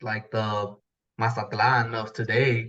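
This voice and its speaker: Bright, sharp tone from a man with an American accent. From Houston, Texas (came from Mexico at age two). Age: 30s. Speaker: sports fan. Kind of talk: casual chat. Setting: podcast interview.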